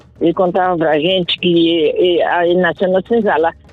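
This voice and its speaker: Music plays in the background. Over it, a woman speaks at medium pitch. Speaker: adult literacy student. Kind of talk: interview answer.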